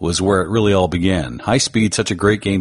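A man with a fairly low-pitched voice. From Canada. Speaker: podcast host. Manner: smooth delivery.

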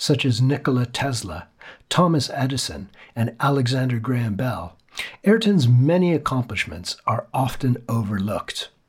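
A man's somewhat breathy voice sits at a medium pitch, moving at a moderate pace with lively intonation. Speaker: podcast host. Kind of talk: scripted intro and outro reading.

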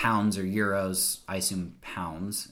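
A very slow delivery in a bright, sharp tone, with an American accent. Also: man. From US South. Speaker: podcast host. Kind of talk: casual chat; reading aloud.

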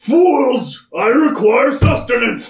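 A man puts on a character voice at an extremely high pitch. There is slight echo.

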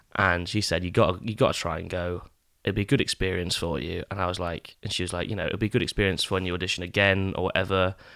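In an English accent, a bright, sharp voice goes at a very fast pace with fairly even intonation on a very clean recording with a silent background. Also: man, very deep, low pitch for a man. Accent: English-sounding. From Scotland, East Neuk of Fife. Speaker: actor. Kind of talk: casual chat.

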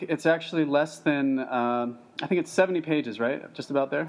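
Fairly high-pitched, this man has an unremarkable speaking voice. His pitch varies in an ordinary way. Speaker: podcast host. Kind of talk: interview.

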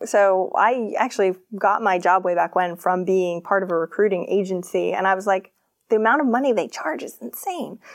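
With an American accent, the speaker uses an ordinary speaking voice at a moderate pace with ordinary pitch variation. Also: woman, medium pitch for a woman. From Maine, US. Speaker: business coach. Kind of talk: interview.

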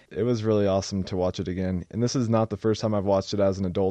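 At a very fast pace, a man with an American accent speaks in a fairly low pitch with monotone, flat intonation. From Oregon. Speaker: podcast co-host. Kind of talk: casual chat.

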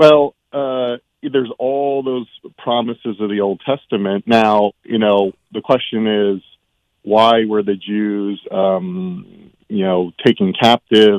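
A man speaks at a very slow pace, his pitch rising and falling in an ordinary way. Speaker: caller. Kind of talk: casual chat. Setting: phone call.

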